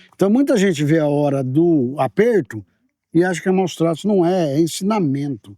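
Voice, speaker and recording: High-pitched man with a dark, mellow tone and very wide pitch swings, moderate pace, dry, close sound with no echo, very clean recording with a silent background. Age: 60s. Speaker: agribusiness show host. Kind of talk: casual interview chat.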